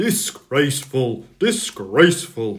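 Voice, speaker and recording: Using a put-on character voice, a man speaks fairly slowly at a fairly high pitch with very wide pitch swings. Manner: hissing, indignant.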